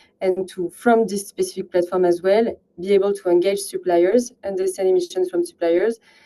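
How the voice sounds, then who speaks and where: A woman's dark, mellow voice at medium pitch, with a French accent, fairly even intonation and a fairly quick pace. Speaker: partnerships manager at a climate software company. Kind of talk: webinar presentation. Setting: online webinar. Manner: halting, many fillers.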